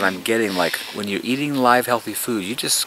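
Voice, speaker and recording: A man speaks with lively intonation amid noticeable background noise. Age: 60s. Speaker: gardener giving a garden tour. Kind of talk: guided tour talk to visitors. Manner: animated.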